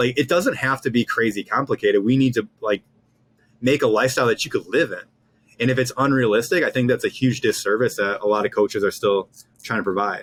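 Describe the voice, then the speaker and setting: A man speaks at a very fast pace with an American accent. The sound is dry and close, with no echo. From US Northwest. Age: 30s. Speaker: fitness coach. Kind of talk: casual chat. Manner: animated.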